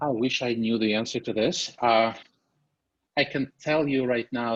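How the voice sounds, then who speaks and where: This man has a Russian accent and a medium pitch. His intonation is fairly even and his pace moderate. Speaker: venture capital investor. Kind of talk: investor briefing Q&A.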